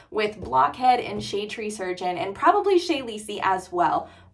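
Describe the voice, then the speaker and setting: Amid noticeable background noise and audible room echo, a woman speaks in an animated tone with very wide pitch swings. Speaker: motorcycle vlogger. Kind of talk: casual vlog talk to camera. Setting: in her garage. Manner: fast.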